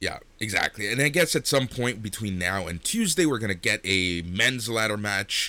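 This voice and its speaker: A man speaks in a bright, sharp tone with lively intonation. The recording is very clean, with a silent background. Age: 40s. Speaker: wrestling podcast host. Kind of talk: casual chat.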